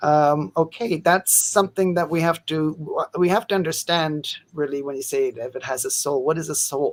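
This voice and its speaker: Using a plain, everyday voice, a man talks at a moderate pace and fairly high pitch with ordinary pitch variation and hardly any pauses. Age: 50s. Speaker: science policy commentator. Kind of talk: live interview.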